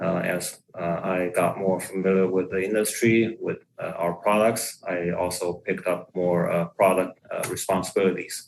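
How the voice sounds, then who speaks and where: A man's very deep, low voice in a Chinese accent, fairly slow, with monotone, flat intonation. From China. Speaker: equipment product manager. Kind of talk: podcast interview. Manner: hesitant, many fillers.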